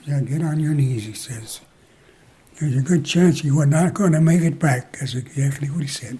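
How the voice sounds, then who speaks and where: A somewhat breathy man with an American accent, fairly high pitch, ordinary pitch variation and a moderate pace. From Moline, Illinois, US Midwest. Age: 90s. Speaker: war veteran. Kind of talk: interview. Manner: halting.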